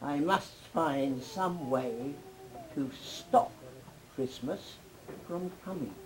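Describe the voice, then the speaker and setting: A woman uses a put-on character voice, growling at a very deep, low pitch with lively intonation. She speaks at a very slow pace over light background noise. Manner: growling, sneering.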